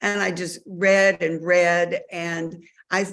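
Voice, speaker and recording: A woman's fairly low voice with a Southern US accent. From Mississippi. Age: 60s. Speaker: author. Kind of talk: interview. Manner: hesitant, many fillers.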